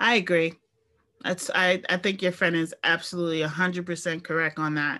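Over a very clean recording with a silent background, a woman with a New York accent talks at a fairly quick pace in a fairly low, bright, sharp voice with monotone, flat intonation. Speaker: podcast co-host. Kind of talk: casual chat.

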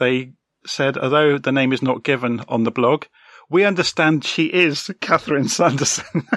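A man with a British accent speaks at a moderate pace in a fairly high pitch, with a bright, sharp tone and ordinary pitch variation. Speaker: podcast host. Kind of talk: interview, casual chat.

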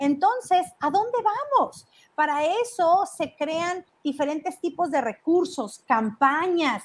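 At a very slow pace, a woman speaks with very wide pitch swings. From Mexico, Jalisco. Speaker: financial education show host. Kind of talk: live stream talk. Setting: livestream from relatives' house in Mexico.

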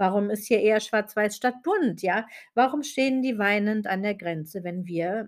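An unremarkable speaking voice with lively intonation at a fairly slow pace, in a very clean recording against a silent background. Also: woman. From Germany, West Berlin. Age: 40s. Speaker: podcast host and business mentor. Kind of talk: podcast monologue.

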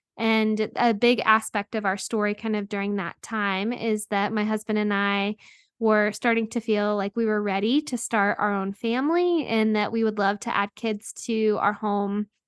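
A woman with an American accent speaks in a plain, everyday voice at a fairly high pitch and moderate pace, with hardly any pauses and fairly even intonation, in a dry, close sound with no echo against a quiet background. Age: 30s. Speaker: podcast host and anti-trafficking worker. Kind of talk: interview testimony.

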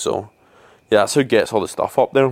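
This man speaks in a Scottish accent. The sound is dry and close, with no echo. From Scotland. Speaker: podcaster and traveller. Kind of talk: casual monologue. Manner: rambling, informal.

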